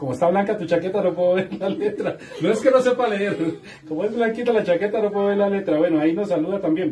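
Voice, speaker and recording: A man speaks at a high pitch with ordinary pitch variation. Light background noise is present. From Colombia. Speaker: online talk show host. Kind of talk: live stream interview. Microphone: camera far.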